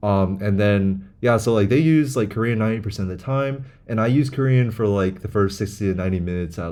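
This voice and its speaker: A man with an American accent speaks at a fairly quick pace, his pitch fairly low. His tone is dark and mellow, and his intonation is lively. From United States, moved from China as a child. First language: Chinese. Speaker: language learning vlogger. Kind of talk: casual monologue. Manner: rambling, filler-heavy.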